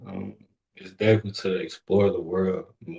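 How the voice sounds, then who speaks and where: A man's somewhat breathy voice with a dark, mellow tone at a moderate pace. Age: 20s. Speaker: host's son. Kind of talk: casual chat.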